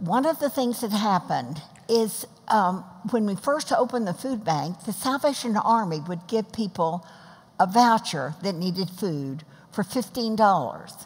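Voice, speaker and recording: A somewhat breathy woman with an American accent, lively intonation and a fairly slow pace. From Texas. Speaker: mother of the host, retired food bank founder; mother of the host. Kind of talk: interview in front of a class audience. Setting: church class with live audience. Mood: warm, lively storytelling. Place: stage. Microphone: headset.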